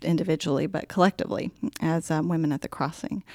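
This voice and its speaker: A woman speaks in a plain, everyday voice. Her pitch varies in an ordinary way, and the recording is very clean with a silent background. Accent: General American. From Colorado. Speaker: church volunteer and curriculum writer. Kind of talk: casual chat.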